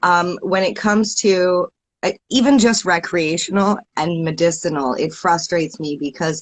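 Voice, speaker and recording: A woman with a Canadian accent has an unremarkable speaking voice. Her pitch is fairly low and her intonation lively. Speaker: podcast host, guest on cannabis talk show. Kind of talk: casual chat.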